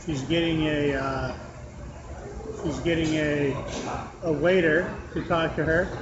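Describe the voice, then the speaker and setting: A man talks slowly in a fairly high, monotone, flat voice. Noticeable background noise and audible room echo surround him. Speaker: podcast host and stand-up comedian. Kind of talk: casual chat.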